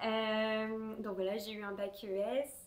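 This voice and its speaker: A woman's voice, pitched fairly high. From southwest France (Tarbes, near the Pyrenees). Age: 20s. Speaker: knitting podcaster. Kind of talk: casual chat. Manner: many hesitations (euh).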